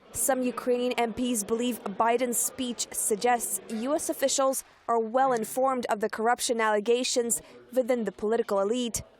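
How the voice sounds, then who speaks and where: A woman speaks in a high voice with fairly even intonation. Noticeable noise sits in the background. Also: moderate pace. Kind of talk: TV news narration.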